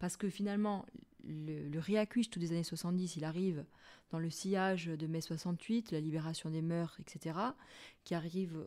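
In a very clean recording with a silent background, a woman speaks at a fairly slow pace in a fairly low, dark, mellow voice with ordinary pitch variation. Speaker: university lecturer in anthropology. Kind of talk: interview.

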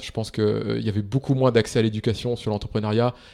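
Here a man speaks at a medium pitch with fairly even intonation. The recording is very clean, with a silent background. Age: 30s. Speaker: startup investor and founder. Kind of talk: interview. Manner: hesitant, many fillers.

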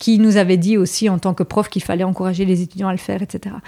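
On a very clean recording with a silent background, a woman speaks at a medium pitch in a dark, mellow tone. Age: 40s. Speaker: history teacher and conspiracy-theory specialist. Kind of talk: interview conversation.

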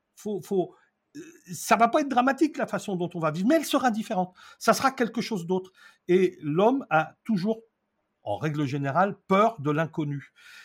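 On a very clean recording with a silent background, a man with a high pitch and very wide pitch swings speaks at a moderate pace, leaving long, frequent pauses. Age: 60s. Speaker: eco-building trainer and author. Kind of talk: interview.

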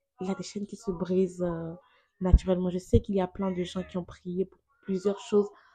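A woman's medium-pitched, somewhat breathy voice with a dark, mellow tone, monotone and flat in intonation, at a fairly quick pace with big swings in loudness. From Benin. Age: 20s. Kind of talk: testimony.

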